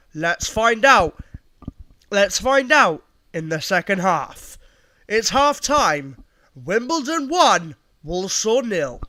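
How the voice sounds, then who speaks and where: A man's raised, projected voice, high in pitch, with very wide pitch swings and long, frequent pauses. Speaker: football livestream host. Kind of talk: half-time stream announcement. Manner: halting, stuttering.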